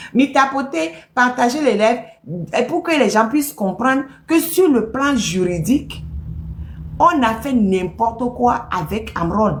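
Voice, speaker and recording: A very slow speaker whose pitch swings very widely, heard over noticeable background noise. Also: woman. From Togo. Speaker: political activist commentator. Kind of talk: political commentary monologue. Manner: animated, emphatic.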